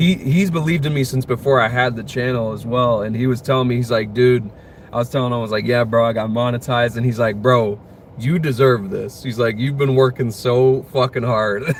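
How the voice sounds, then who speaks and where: A man with a plain, everyday voice speaks at a medium pitch and a fairly quick pace, with an American accent and ordinary pitch variation. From United States. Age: 20s. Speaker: streamer. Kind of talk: casual chat. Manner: casual, filler-heavy.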